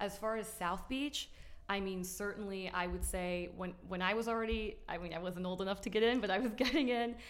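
A woman talks at a fairly quick pace in a medium pitch with ordinary pitch variation, and audible room echo surrounds her voice. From Miami. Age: 30s. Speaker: social media influencer. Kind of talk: casual chat. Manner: animated.

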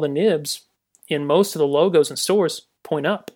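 A man with a Southern US accent. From US South, Georgia. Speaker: graphic designer. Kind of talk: casual interview chat.

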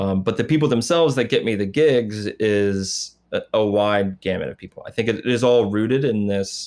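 A man with an unremarkable speaking voice and a fairly low pitch talks at a moderate pace on a very clean recording with a silent background. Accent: American. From US Midwest, Indiana. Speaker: projection designer. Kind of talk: interview conversation.

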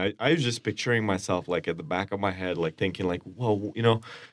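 Over a quiet background, a man speaks with an Indian accent and ordinary pitch variation. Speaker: soccer supporters group member. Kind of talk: casual chat. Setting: radio studio.

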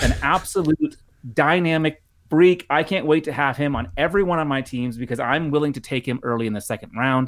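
Talking at a fairly quick pace, a man uses a fairly high voice with ordinary pitch variation. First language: not English. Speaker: football analyst. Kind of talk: casual chat.

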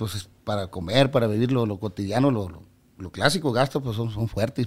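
A man with a northern Mexican accent speaks at a moderate pace. The recording is very clean, with a silent background. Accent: northern Mexican (Sonoran) Spanish. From Mexico, Sonora (Ciudad Obregón). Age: 40s. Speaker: regional Mexican musician. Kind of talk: casual interview chat. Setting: studio.

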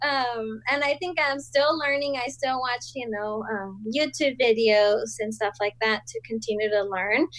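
A woman with a Spanish accent at a fairly high pitch, fairly slow but with hardly any pauses, her pitch varying in an ordinary way. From Colombia (Bogota). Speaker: small business owner. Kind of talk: casual interview chat.

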